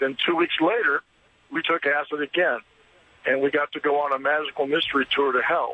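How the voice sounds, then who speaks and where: A man talks at a fairly quick pace in a normal speaking voice. His pitch is fairly high, with fairly even intonation. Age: 60s. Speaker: caller, retired doctor. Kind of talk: call-in testimony.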